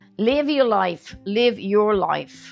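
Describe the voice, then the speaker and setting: Music plays in the background as a woman speaks. Her pace is fairly slow and her intonation lively. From Central Louisiana. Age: 80s+. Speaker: elder interviewee. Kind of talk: interview answer.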